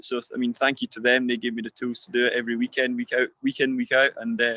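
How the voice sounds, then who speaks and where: With a Scottish accent, a man talks at a very fast pace in a medium pitch, his intonation monotone and flat and his tone bright and sharp. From Scotland, Perth. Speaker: motorcycle racer. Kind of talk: interview. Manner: halting, repetitive.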